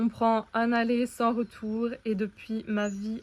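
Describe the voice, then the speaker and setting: Her voice fairly high, a woman talks at a very slow pace. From Belgium. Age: 20s. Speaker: vlogger, dietitian. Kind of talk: vlog introduction.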